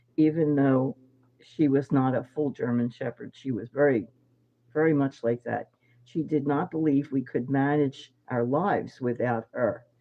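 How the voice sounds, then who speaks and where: A woman's very deep, low voice with a Philadelphia accent, a fairly slow pace and ordinary pitch variation. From Philadelphia, US. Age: 70s. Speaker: psychic medium. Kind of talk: casual monologue. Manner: hesitant, many fillers.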